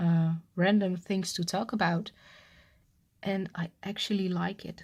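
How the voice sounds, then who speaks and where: Somewhat breathy and at a medium pitch, a woman speaks fairly slowly with monotone, flat intonation. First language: not English. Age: 30s. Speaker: cross-stitch vlogger. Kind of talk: casual chat. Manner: halting.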